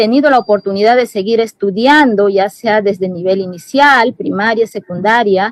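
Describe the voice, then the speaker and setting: A woman with a Peruvian Amazon accent talks with hardly any pauses, her pitch fairly high with ordinary variation. The sound is dry and close, with no echo. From Peruvian Amazon, Shipibo-Conibo community. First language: Shipibo-Conibo (speaking Spanish). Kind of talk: panel discussion. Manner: halting, many fillers and self-corrections.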